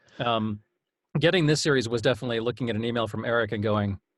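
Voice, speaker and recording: Male voice at medium pitch with ordinary pitch variation. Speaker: audiobook narrator. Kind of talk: interview answer. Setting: home studio.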